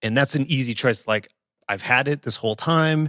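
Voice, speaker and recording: In a plain, everyday voice, a man speaks at a moderate pace with ordinary pitch variation and a dry, close sound with no echo. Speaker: podcast host. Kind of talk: casual interview. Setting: remote call.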